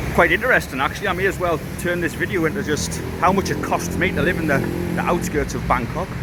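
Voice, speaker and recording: Very fast speech from a man, with audible room echo and noticeable background noise. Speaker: vlogger. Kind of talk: casual vlog talk to camera. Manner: halting.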